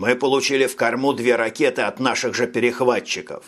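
An unforced reading voice carries the clip. The speaker reads with it throughout.

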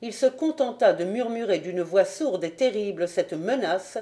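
The voice reads naturally. Its intonation rises and falls in a lively way.

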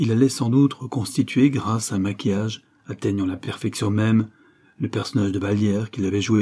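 Reading aloud, plain

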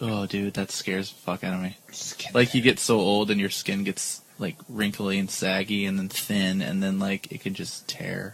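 At a moderate pace and fairly low pitch, a man talks over noticeable background noise. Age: 30s. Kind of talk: casual chat. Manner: animated.

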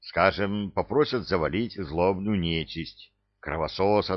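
A natural voice reads the text aloud. Nothing stirs in the quiet background.

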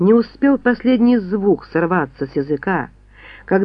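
The recording is plain reading aloud.

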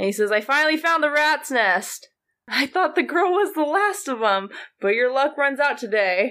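In a raised, projected voice, a woman speaks at a moderate pace with a high pitch, very wide pitch swings, an animated tone, a bright, sharp sound and very even loudness, on a very clean recording with a silent background. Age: 20s. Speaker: stand-up comedian. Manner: animated, laughing mid-sentence, self-deprecating.

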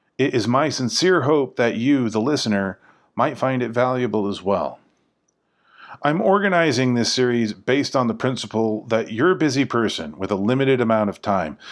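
This is a normal speaking voice from a man at a medium pitch and a moderate pace. His intonation is lively, and the recording is very clean with a silent background. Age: 40s. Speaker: podcast host exploring the Bible. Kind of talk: scripted narration.

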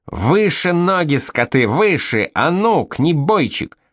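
A man's shouting, put-on character voice, high-pitched with very wide pitch swings, at a fairly slow pace against a quiet background. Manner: shouting, yelling.

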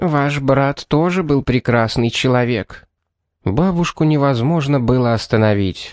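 Over a quiet background, a natural reading voice is heard.

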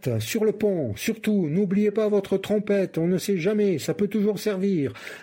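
What we hear is plain reading aloud.

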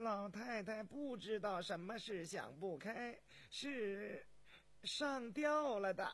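A man's put-on character voice, high-pitched and fairly bright, with lively intonation and a slow pace.

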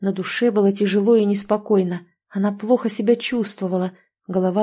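The background stays quiet. Plain reading aloud is heard, its intonation fairly even.

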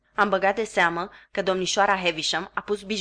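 The voice reads naturally. Intonation stays fairly even.

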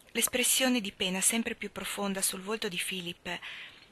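Pitch varies in an ordinary way as the text is plainly read aloud.

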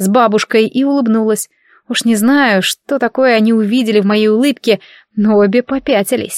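The reading voice is unforced, and the setting behind it is quiet.

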